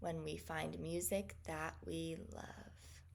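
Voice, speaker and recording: A woman uses a put-on character voice at a very slow pace. Her pitch is very deep and low. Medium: read story.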